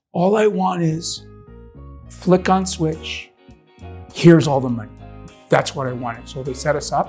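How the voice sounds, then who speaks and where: Background music plays throughout. A man talks, leaving long, frequent pauses. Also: moderate pace. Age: 60s. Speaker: homeowner, customer. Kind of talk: customer testimonial, casual interview answer.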